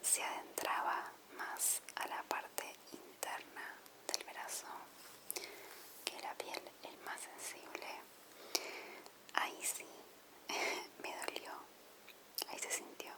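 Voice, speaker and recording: Whispering at a very slow pace with long, frequent pauses, the voice sits over noticeable background noise. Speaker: ASMR creator. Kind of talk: ASMR whisper video. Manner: whispered.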